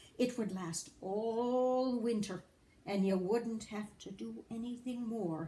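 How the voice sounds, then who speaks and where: A put-on character voice at a very slow pace. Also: woman. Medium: read story.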